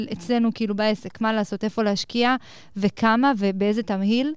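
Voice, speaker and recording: A woman with an unremarkable speaking voice, fairly high in pitch, at a moderate pace with fairly even intonation. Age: 20s. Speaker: entrepreneur and company CEO. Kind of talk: interview. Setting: studio at a college.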